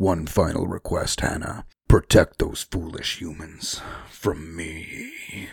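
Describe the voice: At a fairly slow pace, a man uses a raspy, put-on character voice with a very deep, low pitch.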